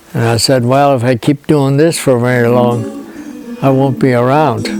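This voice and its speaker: A man speaks with fairly even intonation and very even loudness. Music plays in the background. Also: medium pitch for a man, moderate pace. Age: 80s+. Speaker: farmer. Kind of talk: interview testimony. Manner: halting.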